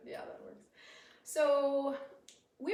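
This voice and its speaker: Speaking with an American accent, a woman keeps a fairly slow pace. Noticeable background noise and audible room echo surround her voice. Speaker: podcast host. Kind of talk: casual chat. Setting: live stream with shared microphone.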